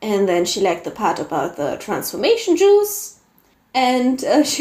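Her tone is dark and mellow, with a fairly high pitch. The woman speaks in a German accent. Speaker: podcast co-host and fiction writer. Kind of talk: casual chat; reading aloud.

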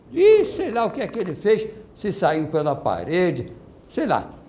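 Very slowly, a man speaks in a high pitch. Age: 80s+. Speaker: guest recounting a personal experience. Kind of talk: testimony. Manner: halting.

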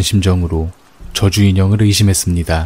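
A man speaks at a fairly low pitch with music in the background. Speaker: horror radio narrator. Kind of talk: ghost story telling. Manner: hushed, slow, eerie narration.

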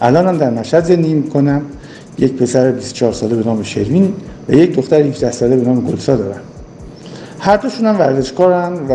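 Against noticeable background noise, a man with a medium pitch talks at a fairly quick pace. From Iran, Mashhad (Khorasan). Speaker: former basketball player. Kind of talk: recorded personal testimony.

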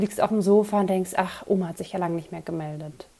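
This woman talks fairly quickly at a medium pitch. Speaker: podcast host and mindset coach. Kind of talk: solo podcast monologue.

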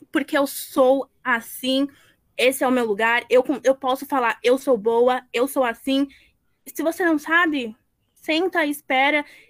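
A woman talks at a fairly slow pace in a high voice with ordinary pitch variation. The recording is very clean, the background silent. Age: young. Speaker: student event moderator. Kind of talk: live panel moderation.

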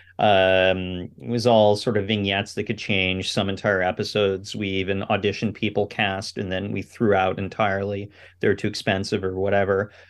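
A man with a Canadian accent speaks at a moderate pace in a plain, everyday voice. His pitch sits fairly low. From Canada, Ottawa. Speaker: cinematographer and film director. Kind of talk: interview.

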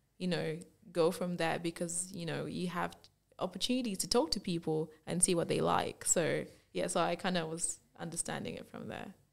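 On a very clean recording with a silent background, a woman with vocal fry speaks at a fairly low pitch and a moderate pace. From Zambia, raised largely in Australia. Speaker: fashion brand owner. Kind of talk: casual interview. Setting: studio.

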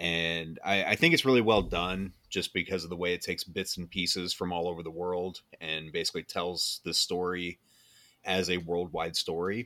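A man with an American accent speaks at a moderate pace in a very deep, low pitch, using a monotone, flat intonation and a bright, sharp tone. The recording is very clean with a silent background and a dry, close sound with no echo. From Iowa (Keokuk area). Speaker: podcast host. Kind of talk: casual chat.

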